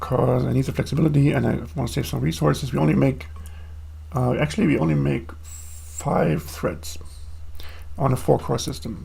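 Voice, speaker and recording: With audible room echo and noticeable background noise, a man speaks at a very deep, low pitch. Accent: non-native. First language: not English. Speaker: programmer streaming own coding. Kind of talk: live coding stream. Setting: home desk, live stream. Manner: casual, with fillers.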